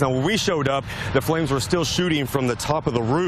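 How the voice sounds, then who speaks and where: Noticeable background noise sits under a man talking very fast at a fairly high pitch with ordinary pitch variation. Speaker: TV news reporter. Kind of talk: TV news reporting.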